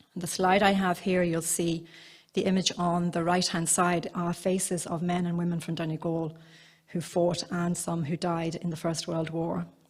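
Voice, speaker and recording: A woman speaks at a moderate pace with a fairly low pitch. Her voice is somewhat breathy and her intonation is monotone and flat. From Ireland, County Cavan border area. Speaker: museum curator. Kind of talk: conference talk. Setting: seminar at a museum, live broadcast.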